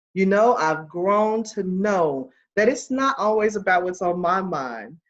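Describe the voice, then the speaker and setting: Her intonation rises and falls in a lively way. The woman's voice is pitched at a medium level. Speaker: podcast host. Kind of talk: podcast interview.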